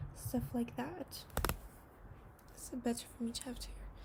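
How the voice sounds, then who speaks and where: A soft-spoken woman whispers at a moderate pace. Noticeable background noise is audible. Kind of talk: ASMR horror story reading. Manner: whispered and soft-spoken.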